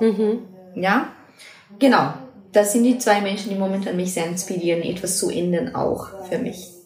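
Through noticeable background noise and audible room echo, a woman with a Brazilian accent speaks at a fairly slow pace and a medium pitch. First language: Portuguese (speaking German). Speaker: acro yoga teacher and project manager. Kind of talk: interview. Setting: recorded in person in a house library. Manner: halting, non-native with fillers.

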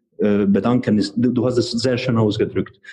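A man speaks with a Hungarian accent at a medium pitch, his tone dark and mellow. His voice is somewhat breathy and his pace is moderate. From Hungary. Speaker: chemist and real estate investor. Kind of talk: casual interview. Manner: halting.

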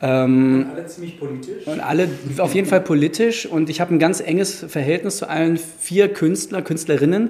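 A man with a high voice talks at a moderate pace with ordinary pitch variation and hardly any pauses, over noticeable background noise. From Germany, Frankfurt. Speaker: gallery owner. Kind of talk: interview. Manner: hesitant, many filler sounds.

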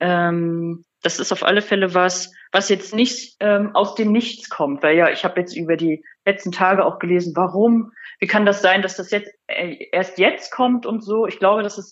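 Using a plain, everyday voice, a woman speaks at a moderate pace and medium pitch with ordinary pitch variation. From northern Germany, Rostock. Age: 30s. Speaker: online magazine editor-in-chief. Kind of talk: interview.

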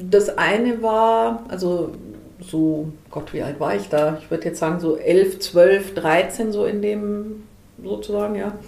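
A woman speaks very slowly at medium pitch with ordinary pitch variation. Her loudness swings widely, and room echo is audible. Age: 40s. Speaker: volunteer counselor for visually impaired people. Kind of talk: interview. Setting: in person.

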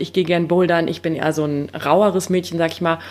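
Amid noticeable background noise, a woman with a fairly low pitch speaks at a moderate pace in a monotone, flat delivery. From Siegerland, Germany. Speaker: photographer and travel blogger. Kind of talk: casual chat.

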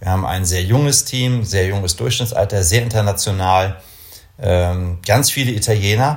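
This man has an ordinary speaking voice, fairly low in pitch, and moves along at a moderate pace. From northern Germany, Kiel (Baltic coast). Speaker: company executive in the space industry. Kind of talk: interview. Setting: office.

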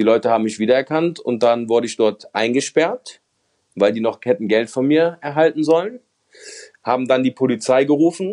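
A man speaks at a medium pitch and a moderate pace, his tone dark and mellow. The pitch varies in an ordinary way, and the sound is dry and close with no echo. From Germany, Mönchengladbach (Lower Rhine). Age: 30s. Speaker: former gambling addict and convicted fraudster. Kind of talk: testimony.

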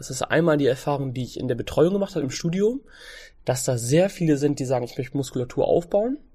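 Against a quiet background, a man with a fairly high pitch and a dark, mellow, somewhat breathy tone talks very fast with lively intonation. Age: 20s. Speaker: fitness trainer and nutrition coach. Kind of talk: casual interview.

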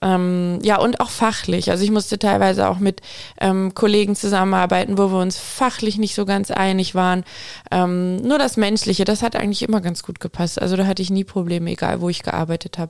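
A woman speaks at a medium pitch and a fairly quick pace, with fairly even intonation and a normal speaking voice. The recording is very clean, with a silent background. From Aalen area, Baden-Württemberg. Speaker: veterinarian. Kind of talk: interview.

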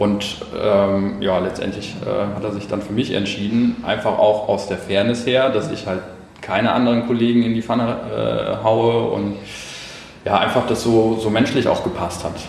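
A man speaks at a moderate pace. Noticeable background noise and audible room echo surround him. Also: medium pitch for a man, fairly even intonation. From Hessen, Germany. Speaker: photographer and videographer. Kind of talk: casual chat. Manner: halting.

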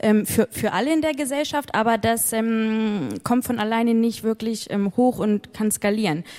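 An ordinary speaking voice at a moderate pace, with very even loudness, ordinary pitch variation and hardly any pauses. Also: woman, fairly high pitch for a woman. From northern Germany, Hamburg. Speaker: innovation fund manager. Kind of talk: live stage interview. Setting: stage with audience.

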